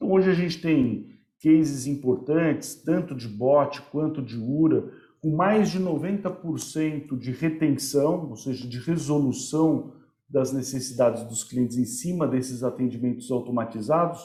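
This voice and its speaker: A man with a fairly high pitch and a somewhat breathy voice. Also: ordinary pitch variation, fairly slow pace. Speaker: company representative, webinar host. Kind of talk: webinar presentation.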